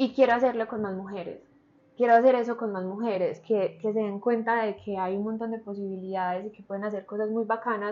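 Her fairly high voice moves at a fairly quick pace with monotone, flat intonation. The woman's loudness swings widely. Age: 20s. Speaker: model and entrepreneur. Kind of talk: interview conversation.

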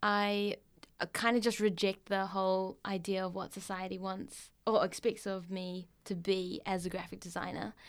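A woman with an ordinary speaking voice talks at a moderate pace and medium pitch. The recording is very clean, with a silent background. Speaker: podcast co-host, graphic designer. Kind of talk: casual podcast interview.

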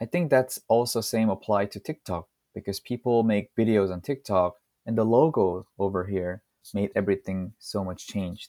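A man's fairly low, dark and mellow voice with a Korean accent, ordinary pitch variation and a moderate pace, dry and close with no echo on a very clean recording with a silent background. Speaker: language-teaching content creator and founder. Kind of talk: interview.

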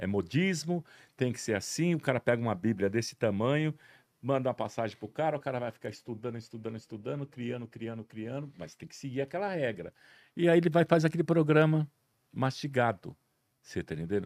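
Talking at a fairly quick pace, a man with a medium pitch uses lively intonation and big swings in loudness, with a dry, close sound and no echo. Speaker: television director. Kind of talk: interview. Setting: studio, streamed live on Instagram.

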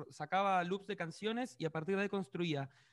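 A man speaks at a high pitch. The recording is very clean, with a silent background. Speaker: pop musician. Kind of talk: interview.

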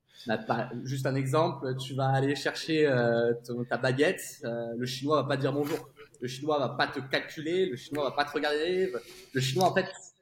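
This man has an unremarkable speaking voice at a fairly high pitch. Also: moderate pace. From France. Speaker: tech sales executive, expatriate. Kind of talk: casual interview chat.

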